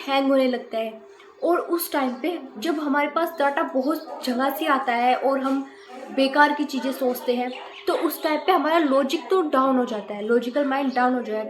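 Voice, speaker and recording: A woman with a high-pitched voice talks fairly slowly, her pitch varying in an ordinary way, while background noise is clearly audible. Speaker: YouTuber, student. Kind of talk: casual explainer vlog. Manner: halting. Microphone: voice may come through quieter.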